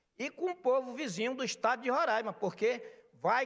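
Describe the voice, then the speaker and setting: A man is speaking. His pace is moderate. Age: 60s. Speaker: market vendor representative. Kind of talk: speech at legislative session. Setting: legislative assembly plenary. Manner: impassioned.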